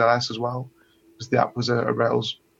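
Speaking with a British accent, a man talks at medium pitch. His pace is fairly quick. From UK. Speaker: coding bootcamp student. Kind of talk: webinar Q&A conversation. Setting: webinar, online.

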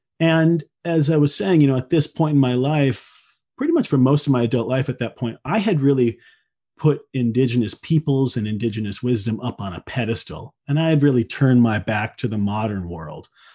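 A man with a Midwestern American accent, medium pitch, dark and mellow tone, lively intonation and a fairly quick pace, over a quiet background. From US Midwest. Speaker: wilderness school founder and nature-based purpose guide. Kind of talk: casual interview conversation.

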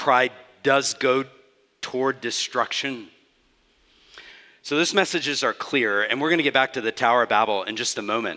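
Against a quiet background, a man with a bright, sharp tone and medium pitch talks at a moderate pace, using ordinary pitch variation and long, frequent pauses. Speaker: pastor. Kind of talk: sermon.

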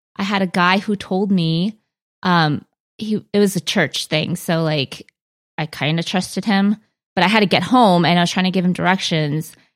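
A woman with an American accent and a normal speaking voice talks at medium pitch and a moderate pace with fairly even intonation, in a very clean recording with a silent background and a dry, close sound with no echo. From US, Korean American. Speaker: book podcast co-host. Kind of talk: casual chat.

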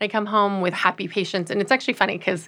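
Her bright, sharp tone sits at medium pitch as the woman speaks with an American accent. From US West Coast, Los Angeles. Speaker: surgeon. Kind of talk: interview. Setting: studio.

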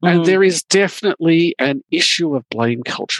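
The sound is dry and close with no echo as a man with a fairly high pitch and ordinary pitch variation speaks in a normal speaking voice. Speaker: security industry interviewee. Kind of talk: interview.

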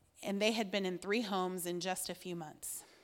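A woman talks in an unremarkable speaking voice with an American accent, her pitch medium. Her pace is moderate and her intonation fairly even. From southern Indiana. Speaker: women's Bible teacher. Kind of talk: sermon.

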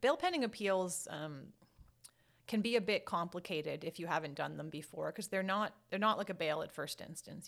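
The speaker moves along at a fairly quick pace. Pitch variation is ordinary. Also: woman. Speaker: criminal trial and appeal lawyer. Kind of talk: interview. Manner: fast talker.

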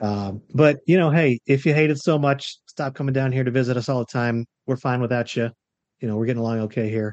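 This man has a plain, everyday voice with an American accent and medium pitch. He talks at a fairly quick pace with fairly even intonation. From Florida. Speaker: financial planner. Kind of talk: casual chat. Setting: video call.

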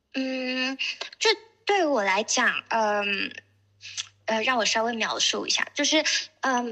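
A woman talks with a bright, sharp tone and a fairly high pitch. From Shenzhen, China. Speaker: artist. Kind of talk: panel talk at exhibition opening. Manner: hesitant, many fillers.

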